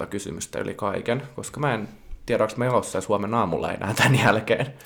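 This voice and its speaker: A man's voice sits at a medium pitch. He talks at a moderate speed. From Finland, Varkaus. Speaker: podcast co-host. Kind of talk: casual chat. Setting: home studio.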